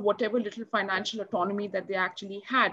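In an Indian accent, a woman speaks with fairly even intonation. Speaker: NGO program officer; panelist. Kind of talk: panel discussion. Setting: video call. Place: home room. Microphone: video call.

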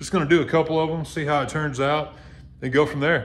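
A man at a very fast pace with fairly even intonation over light background noise. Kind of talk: casual tutorial vlog. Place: garage. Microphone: phone near.

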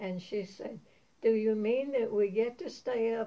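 A woman talks at a very slow pace. Her fairly high voice has a dark, mellow tone. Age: 80s+. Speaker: grandmother sharing memories. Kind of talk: storytelling interview. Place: home room. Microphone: camera far.

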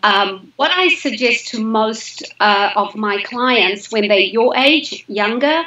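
A woman's fairly high voice at a very slow pace, with lively intonation and audible room echo. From Zimbabwe. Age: 50s. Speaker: health coach. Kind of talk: casual chat. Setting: live video stream. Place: home room. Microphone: video call.

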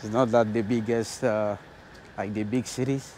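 The clip has a dry sound with no echo and light background noise. A man speaks with a dark, mellow tone. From Nigeria. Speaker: travel vlogger. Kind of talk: travel vlog narration. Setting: outdoors. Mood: amazed, grateful. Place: street. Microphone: lapel.

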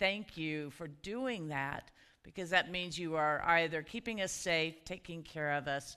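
The woman's tone is bright and sharp. Behind her, the background is quiet. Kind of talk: worship welcome and introduction. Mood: warm, festive. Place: church.

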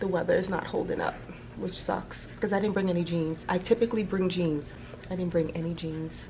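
Over music in the background, a woman speaks at a moderate pace with ordinary pitch variation. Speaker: travel vlogger. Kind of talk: casual vlog chat. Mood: relaxed, cheerful. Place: home room. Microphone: phone near.

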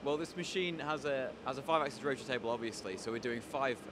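Through loud background noise, a man talks at a very fast pace in a dry sound with no echo. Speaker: tooling company demonstrator. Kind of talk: interview answer. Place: workshop. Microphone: handheld.

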